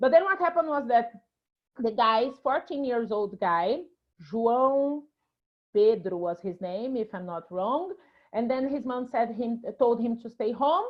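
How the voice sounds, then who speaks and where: With a Brazilian accent, a woman speaks at a fairly slow pace in a fairly high pitch, her intonation lively and broken by long, frequent pauses. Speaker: actress and filmmaker. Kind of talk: interview.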